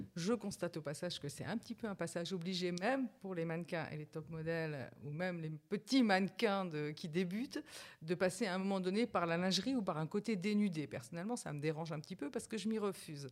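In a very clean recording with a silent background, a woman with a plain, everyday voice speaks fairly low with lively intonation. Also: fairly quick pace. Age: 50s. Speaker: senior model and influencer. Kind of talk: casual chat.

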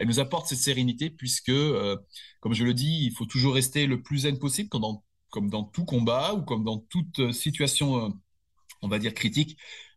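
A man speaks at medium pitch with ordinary pitch variation. His voice is somewhat breathy against a quiet background. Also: moderate pace. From southern France, Nice area. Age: 50s. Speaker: security company manager. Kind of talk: interview. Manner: hesitant, many fillers and repetitions.

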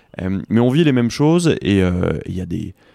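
On a very clean recording with a silent background, a man speaks. His tone is dark and mellow, and his intonation is lively. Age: 30s. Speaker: sports inclusion entrepreneur. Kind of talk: interview. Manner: halting.

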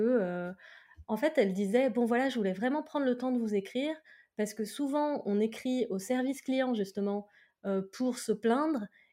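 On a very clean recording with a silent background, a woman speaks at a moderate pace in a dark, mellow tone with ordinary pitch variation. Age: 30s. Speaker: entrepreneur, co-founder of a CBD tea brand. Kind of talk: casual interview.

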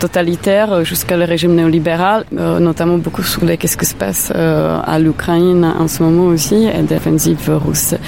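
Speaking at a moderate pace with a Czech accent, a woman with a fairly low pitch is heard over noticeable background noise. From Czech Republic. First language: Czech (speaking French). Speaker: art curator. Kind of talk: interview. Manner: halting.

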